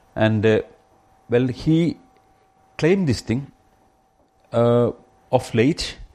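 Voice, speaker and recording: In a Keralan accent, a man of medium pitch speaks very slowly with long, frequent pauses and ordinary pitch variation. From India, Kerala. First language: Malayalam. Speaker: rationalist activist and guest speaker. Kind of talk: public talk. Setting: pub talk with live audience.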